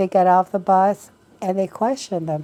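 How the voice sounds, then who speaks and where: A woman of medium pitch has a dark, mellow tone. She speaks at a fairly slow pace in a monotone, flat delivery. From Mexico, raised in Detroit. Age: 80s+. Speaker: retired social worker. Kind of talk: oral history interview.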